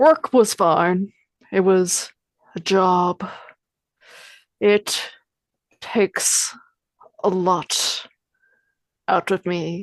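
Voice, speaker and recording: Female-sounding put-on character voice, gravelly and menacing in tone, middle pitch, very slow pace with long, frequent pauses. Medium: actual play. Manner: flat, non-committal, faintly menacing.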